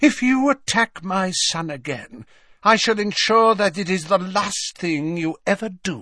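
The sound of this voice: A put-on character voice with a bright, sharp tone, delivered at a fairly slow pace. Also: man, high pitch for a man, lively intonation.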